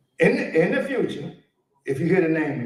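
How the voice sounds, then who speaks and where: A man talks with a high pitch and very wide pitch swings. The room echo is audible. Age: 70s. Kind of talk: conference talk. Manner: animated.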